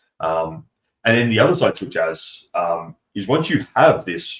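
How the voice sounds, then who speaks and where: Fairly slow speech in an Australian accent. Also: man. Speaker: game developer. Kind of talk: casual chat. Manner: halting, many fillers; animated.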